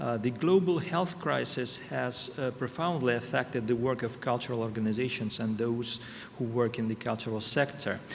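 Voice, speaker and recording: At a moderate pace and medium pitch, a man speaks with ordinary pitch variation while noticeable background noise plays behind him. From Russia. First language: Russian. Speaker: ambassador. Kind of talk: prepared speech. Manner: halting.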